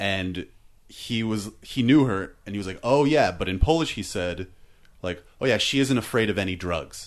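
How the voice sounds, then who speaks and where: Against a quiet background, a man with a fairly low pitch talks at a moderate pace in a normal speaking voice with lively intonation. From Canada. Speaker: comedian. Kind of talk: casual chat.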